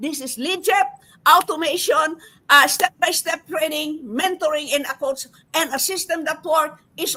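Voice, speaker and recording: A woman uses a raised, projected voice with a bright, sharp tone. She speaks at a fairly slow pace. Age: 70s. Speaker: nurse educator and online business promoter. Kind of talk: motivational testimony. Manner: animated.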